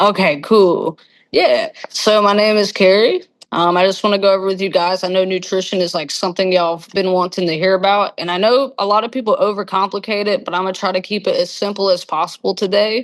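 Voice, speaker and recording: Very fast speech from a woman with a strong Southern accent, medium in pitch, with fairly even intonation. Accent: thick Southern. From North Carolina, Gastonia. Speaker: gym salesperson and kickboxing instructor. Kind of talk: presentation. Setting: video call.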